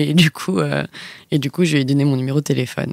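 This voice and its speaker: Speaking at a very fast pace, a woman keeps her intonation fairly even in a dry, close recording with no echo. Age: 20s. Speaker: graphic designer, podcast guest. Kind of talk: casual chat.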